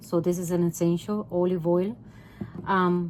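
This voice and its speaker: A woman with a Puerto Rican accent speaks at a medium pitch. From Puerto Rico. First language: Spanish. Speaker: home cooking vlogger. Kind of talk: cooking tutorial. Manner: halting, many filler ums; casual, conversational.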